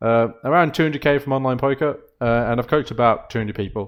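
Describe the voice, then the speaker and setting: A man with a Birmingham accent speaks at a very fast pace and a medium pitch. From Birmingham, England. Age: 20s. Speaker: poker coach. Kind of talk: tutorial.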